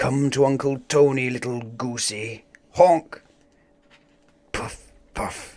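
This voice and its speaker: A put-on character voice at a very slow pace, broken by long, frequent pauses. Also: man, medium pitch for a man. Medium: read story.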